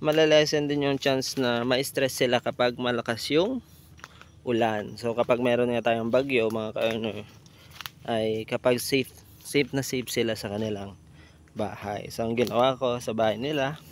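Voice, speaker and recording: A man speaks with fairly even intonation. His pitch sits at a medium level. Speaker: goat farmer vlogger. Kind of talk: casual vlog. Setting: outdoors on farm. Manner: slow; lowered voice, quiet.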